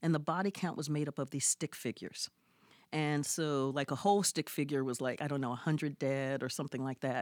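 A woman with an American accent talks at a fairly quick pace in a very deep, low voice. The very clean recording sounds dry and close, with no echo and a silent background. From US Midwest (Columbus, Ohio). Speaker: historian and professor. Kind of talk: interview. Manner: animated.

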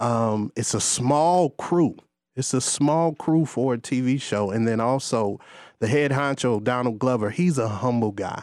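A very clean recording with a silent background: a man in an American accent, his pitch variation ordinary. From Gary, Indiana. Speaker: stand-in actor. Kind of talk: casual interview. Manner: animated.

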